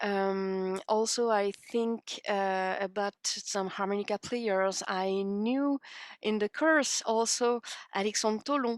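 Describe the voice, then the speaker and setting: A woman speaks very slowly at a medium pitch with a French accent, her intonation fairly even and her loudness very even. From France, Paris area. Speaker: harmonica player. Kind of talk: interview. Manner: halting.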